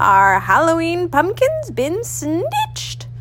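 A woman uses a put-on character voice at a very slow pace. Background noise is clearly heard. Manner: crying out, indignant.

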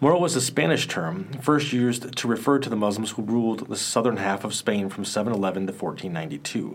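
Lively intonation marks this man's delivery at a moderate pace. He has a normal speaking voice of medium pitch. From Cedar Rapids, Iowa. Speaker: social studies teacher and podcast host. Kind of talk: history documentary narration, read from a script. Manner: measured, steady, even-paced narration; informative, slightly formal, teacherly.

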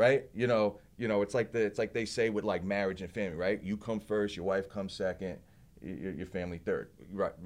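With a New Jersey accent, the speaker talks at a fairly quick pace. The intonation is fairly even, and the background is quiet. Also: man, fairly low pitch for a man. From New Jersey (Belleville). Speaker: martial artist and small business owner. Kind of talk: casual interview. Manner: halting.

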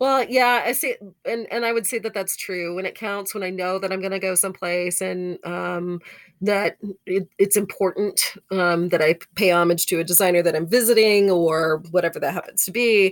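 In an American accent, a woman has an ordinary speaking voice, medium in pitch, with ordinary pitch variation at a moderate pace. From Texas. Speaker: fashion podcast co-host. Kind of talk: casual chat.

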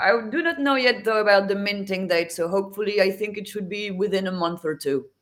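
Speaking with a French accent at a fairly quick pace, the voice has lively intonation and hardly any pauses. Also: woman, medium pitch for a woman. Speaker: NFT artist and graphic designer. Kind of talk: interview.

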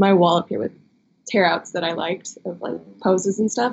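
Her moderate pace carries an American accent as the woman talks. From Chicago suburbs, US Midwest. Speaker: model. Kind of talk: interview.

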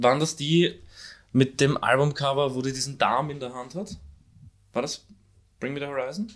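Speaking at a moderate pace with a fairly high pitch, a man shows big swings in loudness and takes long, frequent pauses. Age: 20s. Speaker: podcast co-host. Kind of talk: casual chat. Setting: at home, recording in an apartment.

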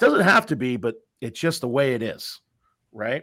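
A man with a slight Massachusetts accent talks at a moderate pace in a bright, sharp tone, the sound dry and close with no echo. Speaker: mortgage professional and podcast host. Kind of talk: casual chat.

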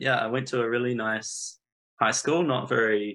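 A man with a New Zealand accent against a quiet background. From New Zealand (Napier). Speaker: statistician and data analyst. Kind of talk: interview.

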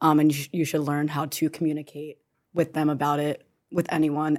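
A woman with a very deep, low pitch talks at a moderate pace on a very clean recording with a silent background. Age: 20s. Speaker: daughter of parent in recovery. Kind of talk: casual panel conversation.

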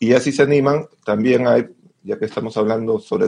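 A man speaks in an unremarkable speaking voice at a fairly quick pace. His intonation stays fairly even. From Peru. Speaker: classical guitarist and music educator. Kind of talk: casual chat.

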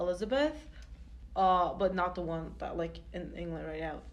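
A woman's fairly low-pitched voice carries an audible echo from the room. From Turkey. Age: 20s. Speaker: student podcast co-host. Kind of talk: casual chat.

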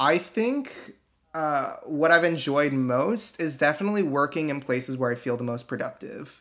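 In a very clean recording with a silent background, a man with an unremarkable speaking voice talks at a fairly slow pace, his fairly high pitch showing ordinary variation. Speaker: software engineer, interviewee. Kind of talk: casual interview.

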